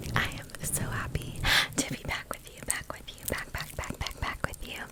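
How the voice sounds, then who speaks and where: A woman whispering against noticeable background noise. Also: moderate pace. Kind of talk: ASMR intro talk to camera. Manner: whispered, soft-spoken.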